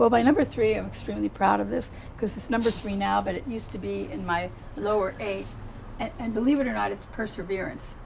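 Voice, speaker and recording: With audible echo from the room, a woman speaks very fast. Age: 70s. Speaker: psychotherapist. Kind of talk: casual chat.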